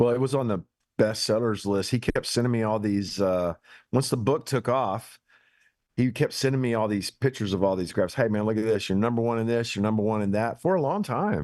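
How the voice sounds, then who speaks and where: At a fairly quick pace, a man with an American accent speaks at a medium pitch with ordinary pitch variation. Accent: hillbilly. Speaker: pastor. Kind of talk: casual chat. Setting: barn.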